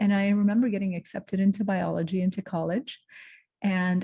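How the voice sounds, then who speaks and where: A woman's somewhat breathy voice, dark and mellow in tone, against a quiet background. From Lebanon. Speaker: entrepreneur and creative director. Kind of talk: motivational talk. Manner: halting, with fillers and restarts.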